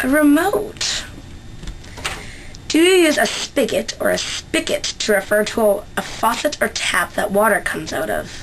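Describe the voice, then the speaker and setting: Noticeable noise fills the background. Over it, a woman talks at a moderate speed. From Central Canada. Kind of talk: casual talk to camera. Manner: casual, chatty.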